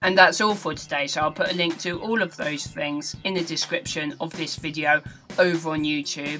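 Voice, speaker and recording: In a British accent, a woman speaks at a moderate pace with fairly even intonation and a very deep, low pitch. Clear music sits in the background. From England. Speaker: gaming news vlogger. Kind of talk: casual gaming news vlog. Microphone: webcam.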